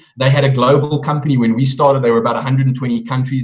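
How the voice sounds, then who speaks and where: The voice moves at a very fast pace. It sounds somewhat breathy. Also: man. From South Africa. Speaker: network marketing presenter. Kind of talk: sales pitch.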